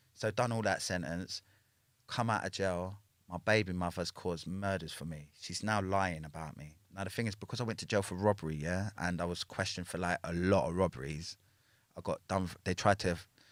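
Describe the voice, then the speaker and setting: In a London accent, a man with a very deep, low pitch speaks with fairly even intonation on a very clean recording with a silent background. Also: fairly quick pace. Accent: London street English. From Northwest London, England. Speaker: former prisoner telling his life story. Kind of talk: casual interview.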